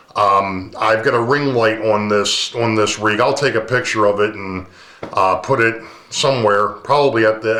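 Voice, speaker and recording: There is audible room echo around a man's voice. He speaks at a moderate pace in a medium pitch with ordinary pitch variation. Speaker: model railroading YouTuber. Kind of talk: casual vlog talk to camera. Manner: relaxed, many fillers.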